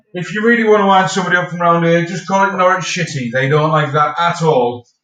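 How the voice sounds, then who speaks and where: With a Teesside accent, the speaker goes at a very fast pace with ordinary pitch variation. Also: man, high pitch for a man. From northern England, Stockton-on-Tees, Teesside. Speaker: streamer. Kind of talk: casual chat. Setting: live stream.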